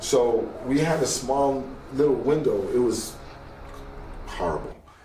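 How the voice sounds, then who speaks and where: A man talks at a medium pitch with ordinary pitch variation. Audible room echo and noticeable background noise come through. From Los Angeles, Koreatown. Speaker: graffiti artist. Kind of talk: interview.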